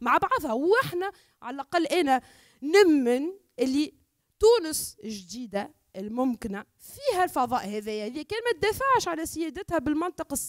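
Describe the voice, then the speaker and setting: Speaking in a Tunisian accent, a woman uses a high pitch and very wide pitch swings. She keeps a moderate pace against a quiet background. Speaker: academic and environmental activist; speaker. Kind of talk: panel discussion. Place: hall. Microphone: handheld.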